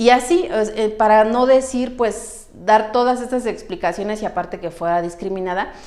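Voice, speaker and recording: A woman at a fairly high pitch and moderate pace, with hardly any pauses and ordinary pitch variation. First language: Mixtec (speaking Spanish). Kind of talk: testimony.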